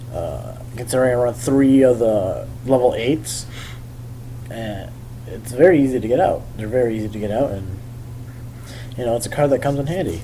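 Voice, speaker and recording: Speech comes at a moderate pace with ordinary pitch variation and long, frequent pauses. Noticeable background noise and audible room echo are present. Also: man, medium pitch for a man. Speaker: YouTube card game deck profiler. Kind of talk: casual tutorial. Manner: halting, stuttering with fillers.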